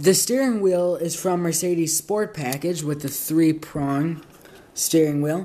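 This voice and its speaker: Speaking at a fairly slow pace, a man uses a high voice with ordinary pitch variation. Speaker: diecast model car reviewer. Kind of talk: product review. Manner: casual, filler-heavy. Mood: calm, appreciative. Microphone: phone near.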